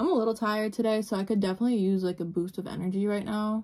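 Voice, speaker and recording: This woman has a dark, mellow tone. Her intonation is fairly even. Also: quiet background. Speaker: beauty vlogger. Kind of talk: casual vlog chat. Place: home room. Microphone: phone near.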